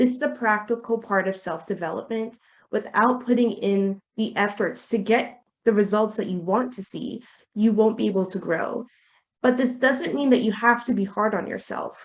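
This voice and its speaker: Using an unremarkable speaking voice, the speaker moves at a moderate pace with ordinary pitch variation. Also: woman, fairly high pitch for a woman. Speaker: webinar facilitator. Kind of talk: webinar presentation.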